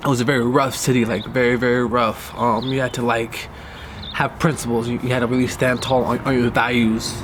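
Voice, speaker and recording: Over noticeable background noise, a man with a Californian accent talks at a fairly quick pace with a medium pitch and monotone, flat intonation. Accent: Californian American English. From US West Coast, Inglewood, California. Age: 20s. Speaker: filmmaker telling own life story. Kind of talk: personal life-story documentary monologue. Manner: hesitant, many fillers.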